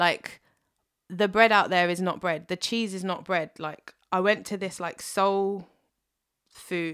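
On a very clean recording with a silent background, a woman with a London accent speaks at a moderate pace and a medium pitch. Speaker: singer-songwriter. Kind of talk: casual chat.

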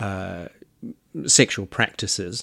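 On a very clean recording with a silent background, a man with a New Zealand accent talks at a fairly low pitch and a fairly slow pace. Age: 50s. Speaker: podcast host. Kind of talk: interview.

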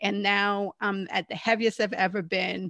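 A woman with vocal fry speaks at medium pitch in a dry, close sound with no echo. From Canada. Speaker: former Marine officer and author. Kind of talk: interview conversation.

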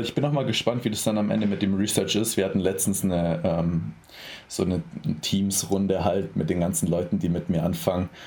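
A dark, mellow tone with vocal fry, ordinary pitch variation and a fairly quick pace. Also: man, very deep, low pitch for a man. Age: 20s. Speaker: bodybuilding athlete and sports science student. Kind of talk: casual interview conversation.

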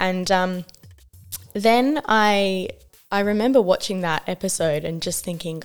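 A woman with an Australian accent, medium in pitch with ordinary pitch variation, at a fairly slow pace. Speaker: social justice worker and writer. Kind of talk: radio interview. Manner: hesitant, many fillers.

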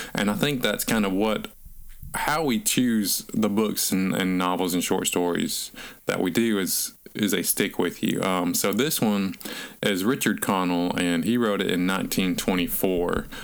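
Speaking in a Southern US accent, a man keeps a very even loudness and a fairly slow pace, his fairly low pitch showing ordinary variation. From North Alabama. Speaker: podcast co-host, author. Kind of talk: casual chat about books.

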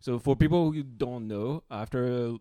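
This man has a dark, mellow tone and a medium pitch, with a French accent. He talks at a moderate pace with ordinary pitch variation. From France. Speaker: podcast host. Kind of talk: casual chat.

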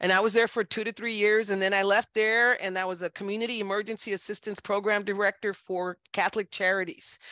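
A woman with an American accent talks at a very fast pace with hardly any pauses. Her bright, sharp tone stays monotone and flat, with a dry, close sound with no echo. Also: medium pitch for a woman, quiet background. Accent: South Texas Tejano English. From South Texas, Brownsville (Rio Grande Valley). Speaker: judge. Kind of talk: interview.

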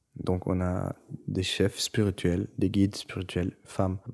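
Over a very clean recording with a silent background, a man talks in a very deep, low voice with a dark, mellow tone and flat, monotone intonation. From Brussels, Belgium, Turkish family. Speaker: musician. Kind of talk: interview testimony. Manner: halting.

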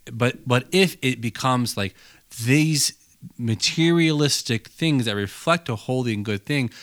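A man's normal speaking voice at medium pitch with lively intonation and a moderate pace, dry and close with no echo, on a very clean recording with a silent background. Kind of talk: casual chat.

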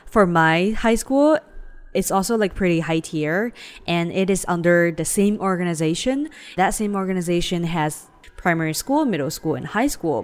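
A woman's fairly low voice with a Chinese accent at a moderate pace. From China (Shanghai). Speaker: podcast co-host. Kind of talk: casual chat.

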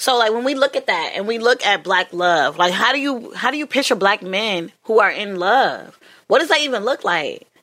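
This woman's voice is fairly high-pitched, with a bright, sharp tone. Her intonation is lively and her delivery animated. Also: moderate pace. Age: 20s. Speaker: podcast host. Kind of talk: casual chat.

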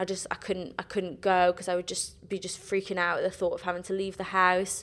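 Speaking in a South Wales accent, a woman has a medium pitch. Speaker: musical theatre graduate. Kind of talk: casual chat.

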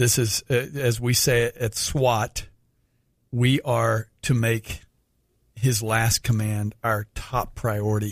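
Speaking at a very slow pace, a man with a medium-pitched, somewhat breathy voice keeps a monotone, flat intonation and very even loudness, recorded dry and close with no echo on a very clean track with a silent background. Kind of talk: radio Bible teaching. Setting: radio studio.

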